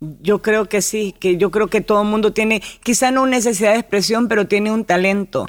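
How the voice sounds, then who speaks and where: Fairly even intonation in a woman's voice of medium pitch. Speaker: actress and TV presenter. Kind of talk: interview. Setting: radio studio.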